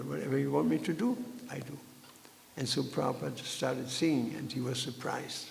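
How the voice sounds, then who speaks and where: A man talks at a fairly quick pace. Audible room echo and noticeable background noise surround him. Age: 70s. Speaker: Hare Krishna preacher. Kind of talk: scripture lecture. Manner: halting, many fillers.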